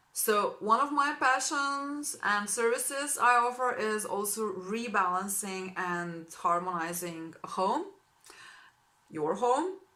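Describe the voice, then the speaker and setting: Very slow speech from a woman with a Slovene accent, fairly high in pitch, with lively intonation. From Slovenia. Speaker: spiritual healing practitioner. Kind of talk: informational introduction video to clients. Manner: warm, enthusiastic.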